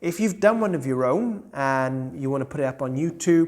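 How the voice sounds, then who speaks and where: In a British accent, the speaker talks at a moderate pace on a very clean recording with a silent background. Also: man. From United Kingdom. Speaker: gaming YouTuber. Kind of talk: tutorial. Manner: casual, conversational.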